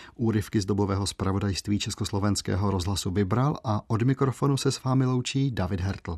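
A man talks at a fairly quick pace with hardly any pauses. His voice is somewhat breathy and fairly low in pitch. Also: ordinary pitch variation. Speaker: radio host. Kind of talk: scripted narration.

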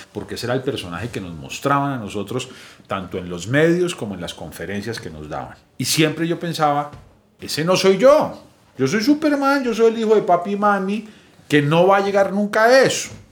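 A man's fairly high voice with very wide pitch swings and big swings in loudness, over music in the background. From Colombia, Bogotá. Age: 40s. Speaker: recovered addict, founder of a recovery project. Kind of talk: personal testimony. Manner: casual, slangy.

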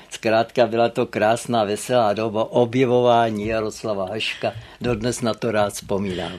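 Flat, monotone intonation carries the words along at a moderate pace. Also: man, medium pitch for a man. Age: 80s+. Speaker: literary historian. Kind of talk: interview. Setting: studio.

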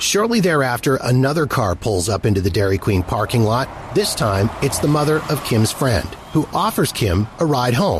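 Dramatic tone with very wide pitch swings and very even loudness over noticeable background noise. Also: man, medium pitch for a man, moderate pace. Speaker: podcast host. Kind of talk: true-crime narration. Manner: measured, storytelling tone, dramatic and suspenseful.

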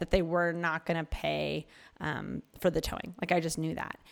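A woman speaks with an American accent. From Philadelphia, US. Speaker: podcast host. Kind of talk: casual conversation.

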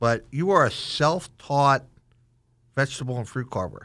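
Here is an unremarkable speaking voice from a man at a moderate pace with ordinary pitch variation. The recording is very clean with a silent background. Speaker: chef and culinary instructor. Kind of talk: interview. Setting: studio.

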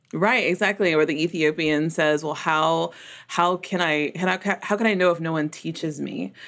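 Vocal fry marks a woman's voice on a very clean recording with a silent background. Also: ordinary pitch variation, moderate pace. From US South, Memphis. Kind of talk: podcast interview.

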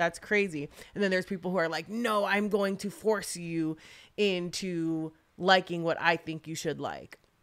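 In a very clean recording with a silent background, a woman uses an ordinary speaking voice, fairly even intonation and a moderate pace. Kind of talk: casual chat.

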